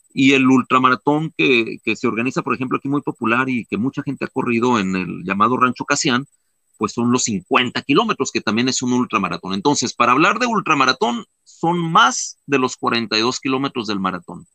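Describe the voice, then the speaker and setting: The man's medium-pitched voice has a bright, sharp tone and lively intonation, captured with a dry, close sound and no echo. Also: moderate pace. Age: 50s. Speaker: ultramarathon runner and mountaineer. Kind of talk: interview.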